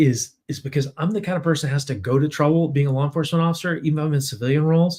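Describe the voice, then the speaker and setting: This man's voice sits fairly high and is somewhat breathy. His pitch varies in an ordinary way. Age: 60s. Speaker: firearms trainer and law enforcement officer. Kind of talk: webinar presentation. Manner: casual, conversational with fillers.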